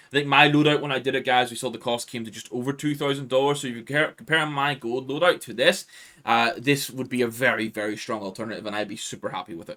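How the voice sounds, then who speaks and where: A man speaks at a very fast pace with hardly any pauses and ordinary pitch variation. His tone is bright and sharp, and his loudness swings widely. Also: medium pitch for a man. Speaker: gaming YouTuber. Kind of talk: gaming video commentary. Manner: casual, filler-heavy.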